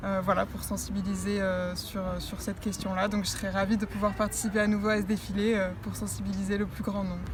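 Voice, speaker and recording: Speaking at a fairly quick pace with hardly any pauses, a woman is heard against noticeable background noise and audible room echo. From southern France, Nice. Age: 20s. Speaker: beauty pageant winner. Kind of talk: interview. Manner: hesitant, many fillers.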